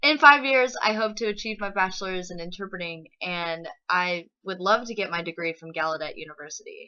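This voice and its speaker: A woman with an American accent in an ordinary speaking voice, medium pitch, lively intonation, big swings in loudness, a fairly quick pace and hardly any pauses. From Texas, Lampasas. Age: 20s. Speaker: interpreting student. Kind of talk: personal introduction monologue.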